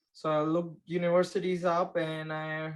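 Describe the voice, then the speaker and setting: With a Gujarati accent, a man speaks in a fairly high pitch and a flat, monotone delivery. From India, Maharashtra. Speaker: construction project manager. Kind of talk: interview. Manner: hesitant, many fillers.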